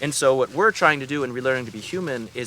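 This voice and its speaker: Lively intonation from a man at a medium pitch, against noticeable background noise. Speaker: regenerative farmer and land manager. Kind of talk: interview. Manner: fast.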